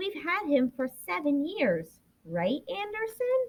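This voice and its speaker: Extremely high pitch marks this woman's put-on character voice. She speaks fairly slowly. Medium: read story.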